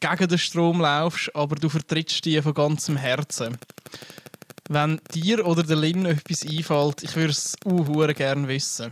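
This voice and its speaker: A man with a Swiss accent speaks fairly slowly at a fairly high pitch with fairly even intonation, in a dry, close sound with no echo. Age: 20s. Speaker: podcast co-host. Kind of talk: casual chat.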